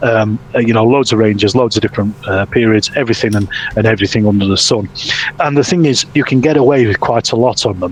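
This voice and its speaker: A man with a Yorkshire accent at medium pitch, very fast pace, ordinary pitch variation and very even loudness, over noticeable background noise. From Yorkshire, northern England. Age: 50s. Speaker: wargaming hobbyist and YouTuber. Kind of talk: casual chat. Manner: halting, frequent fillers and repetitions.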